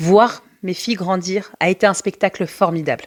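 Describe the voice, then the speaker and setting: In a dry, close sound with no echo, a woman speaks in a warm tone with ordinary pitch variation. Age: 40s. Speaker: special education teacher and podcast host. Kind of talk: personal storytelling monologue. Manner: warm, conversational.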